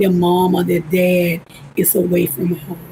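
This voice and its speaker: A woman's medium-pitched voice with an Alabama accent, at a fairly slow pace, with noticeable background noise. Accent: Southern US (Alabama). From US South (Alabama). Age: 60s. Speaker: political candidate. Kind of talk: election interview; campaign closing speech. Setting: livestream interview.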